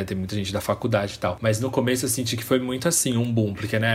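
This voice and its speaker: Over noticeable background noise, a man talks at medium pitch with ordinary pitch variation. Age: 20s. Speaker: podcast host. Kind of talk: casual interview chat.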